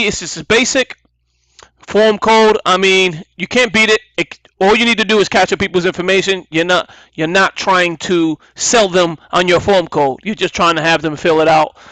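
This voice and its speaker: A bright, sharp voice, raised and projected at a moderate pace. The sound is dry and close, with no echo. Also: man, high pitch for a man, ordinary pitch variation. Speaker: online marketing trainer. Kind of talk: tutorial.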